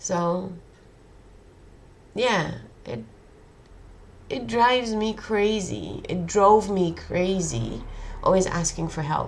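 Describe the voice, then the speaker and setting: Speaking with a Dutch accent, a woman of medium pitch uses lively intonation and vocal fry at a very slow pace with long, frequent pauses, amid audible room echo. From Netherlands. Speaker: vlogger. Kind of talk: personal monologue. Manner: halting.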